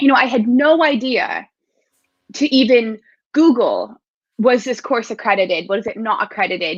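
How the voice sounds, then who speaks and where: This woman has a fairly high pitch, ordinary pitch variation and a moderate pace. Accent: American. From United States. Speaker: sport psychologist. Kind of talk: interview.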